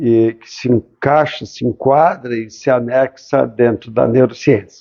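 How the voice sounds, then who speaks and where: In a normal speaking voice, a man of medium pitch talks at a fairly slow pace with fairly even intonation and big swings in loudness. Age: 60s. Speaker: ophthalmologist, former student. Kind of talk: interview.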